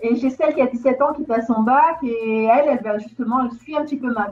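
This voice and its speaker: With music in the background, a woman with a high pitch talks at a very fast pace and ordinary pitch variation. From southern France, Marseille. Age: 40s. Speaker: real estate investor. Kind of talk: interview. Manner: halting.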